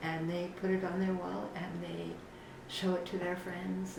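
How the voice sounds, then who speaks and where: A woman at medium pitch is heard with audible room echo and noticeable background noise. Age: 70s. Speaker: painter. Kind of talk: interview. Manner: halting.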